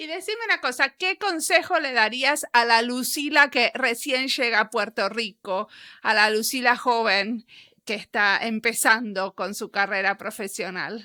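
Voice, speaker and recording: A woman with a Rioplatense accent, fairly high in pitch and bright and sharp in tone, at a fairly slow pace with lively intonation, in a dry, close sound with no echo. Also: very clean recording, silent background. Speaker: podcast interviewer. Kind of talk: interview.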